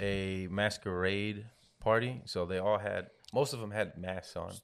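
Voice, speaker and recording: With an ordinary speaking voice, a man talks at a fairly slow pace in a fairly low pitch with fairly even intonation, on a very clean recording with a silent background. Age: 30s. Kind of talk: casual chat.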